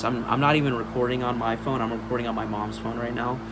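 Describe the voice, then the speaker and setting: A man speaks amid noticeable background noise. Audible room echo follows his voice. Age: 30s. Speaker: horror movie collector youtuber. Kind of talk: casual vlog. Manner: casual, many fillers (um, uh).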